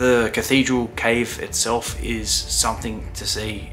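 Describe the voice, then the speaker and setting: There is music playing in the background. Over it, a man talks. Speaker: travel vlogger. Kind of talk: travel voice-over narration.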